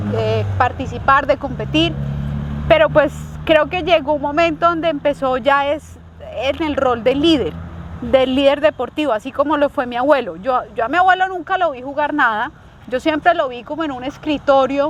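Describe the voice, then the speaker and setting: A high-pitched woman speaks at a moderate tempo, noticeable noise running in the background. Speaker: movement and wellness coach. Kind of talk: interview host questions.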